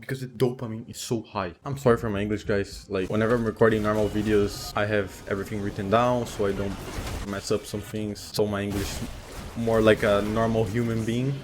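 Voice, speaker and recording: A man talks at a fairly quick pace with a non-native accent, his fairly low voice held in a flat monotone. Music plays behind him. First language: not English. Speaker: self-improvement YouTuber. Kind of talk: casual commentary while gaming. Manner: unscripted, halting.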